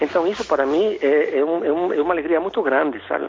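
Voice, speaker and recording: Someone with a Spanish accent talks at a fairly quick pace over noticeable background noise. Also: man. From Ecuador, Quito. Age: 60s. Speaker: philosophy professor. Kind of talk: interview. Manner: halting.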